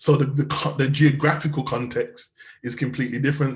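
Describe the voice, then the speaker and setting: In a Birmingham accent, a man with a fairly high, somewhat breathy voice speaks in a flat monotone at a moderate pace. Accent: Brummie. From Birmingham, England. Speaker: youth violence charity founder and criminologist. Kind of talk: interview.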